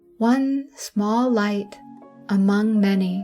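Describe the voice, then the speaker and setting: Very slow, soothing speech with ordinary pitch variation over music in the background. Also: woman. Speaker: sleep story narrator. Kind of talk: sleep story. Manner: soothing, slow.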